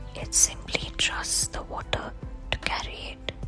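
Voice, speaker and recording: Someone whispers at a very slow pace with music in the background. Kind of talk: whispered guided relaxation story, sleep story. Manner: whispered, soft, slow.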